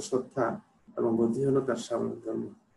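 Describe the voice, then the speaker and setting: A man speaks with vocal fry. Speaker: political science teacher. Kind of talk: lecture. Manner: hesitant, many fillers.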